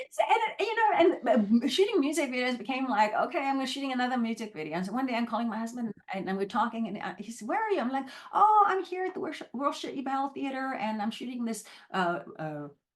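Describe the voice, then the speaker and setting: With noticeable background noise behind her, a woman's high voice races along very fast, its pitch swinging very widely. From South Africa (Durban). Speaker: actress. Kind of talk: interview.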